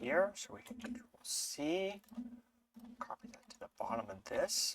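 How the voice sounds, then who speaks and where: Quiet and at a fairly slow pace, a man speaks. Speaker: Linux tutorial creator. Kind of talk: screen-share tutorial. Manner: hesitant with fillers.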